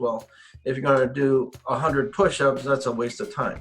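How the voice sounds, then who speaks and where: A man's voice shows ordinary pitch variation while noticeable background noise plays beneath it. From Okinawa, Japan. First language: Japanese. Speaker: karate and kobudo teacher. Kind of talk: interview.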